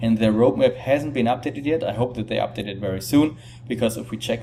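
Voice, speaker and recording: A man with a non-native accent speaks in a fairly even intonation. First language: not English. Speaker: crypto video presenter. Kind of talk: tutorial. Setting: temporary setup while on vacation. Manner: halting, with fillers.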